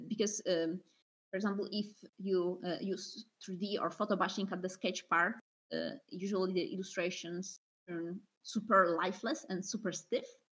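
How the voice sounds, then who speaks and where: With a Polish accent, a woman speaks at a medium pitch with fairly even intonation. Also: fairly slow pace. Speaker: concept artist. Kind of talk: interview. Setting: video call.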